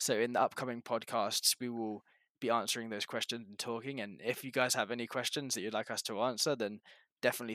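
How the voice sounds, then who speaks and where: In a very clean recording with a silent background, a man talks very fast at a medium pitch with fairly even intonation, a bright, sharp tone and a dry, close sound with no echo. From England. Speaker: podcast co-host, student athlete. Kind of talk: casual chat.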